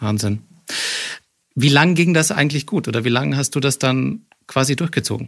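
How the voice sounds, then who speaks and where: A man with vocal fry talks at a medium pitch and a moderate pace, with ordinary pitch variation and long, frequent pauses. The recording is very clean, with a silent background. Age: 30s. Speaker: podcast host. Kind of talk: interview. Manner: stammering repetitions.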